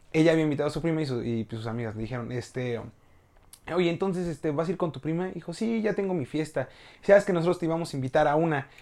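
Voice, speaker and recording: A man talks at a very fast pace and a fairly high pitch. His tone is dark and mellow, with lively intonation. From Mexico, Hidalgo (Tulancingo). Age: 20s. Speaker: university communication student. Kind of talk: casual chat. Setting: host's home, filmed video podcast.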